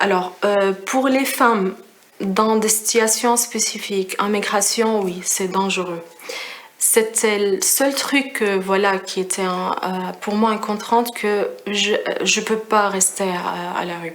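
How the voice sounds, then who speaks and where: Against noticeable background noise and audible room echo, the speech moves at a very slow pace with fairly even intonation. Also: woman, medium pitch for a woman. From Syria. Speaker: refugee, risk prevention engineer. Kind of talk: testimony. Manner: halting, many hesitations.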